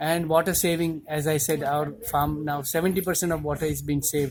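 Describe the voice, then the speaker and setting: A man with a Gujarati accent speaks at a moderate pace, his fairly high, somewhat breathy voice kept monotone and flat. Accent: Indian English (Gujarati). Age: 60s. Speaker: cardiologist and organic farmer. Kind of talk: interview monologue. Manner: hesitant with fillers.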